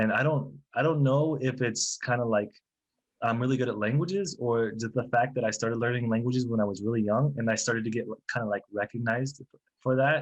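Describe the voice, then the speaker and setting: This is an ordinary speaking voice with an American accent. It moves at a fairly quick pace with ordinary pitch variation. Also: man, medium pitch for a man. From US South, Florida (Bartow, near Tampa). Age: 40s. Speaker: translator, translation company manager. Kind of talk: podcast interview.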